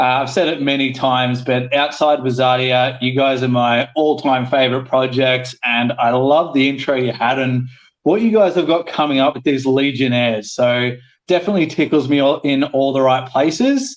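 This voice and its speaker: Sounding enthusiastic, a man at medium pitch speaks with an Australian accent. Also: moderate pace. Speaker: guest from a gaming project. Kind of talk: live audio panel chat. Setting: Twitter Spaces audio room.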